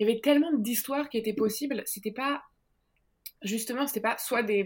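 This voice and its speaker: At a moderate pace, a woman talks with ordinary pitch variation. It is an ordinary speaking voice. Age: 30s. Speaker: comics author and illustrator. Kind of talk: interview.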